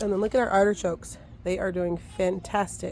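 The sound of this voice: A raspy woman's voice at medium pitch, slightly mellow in tone, fairly slow and fairly even in intonation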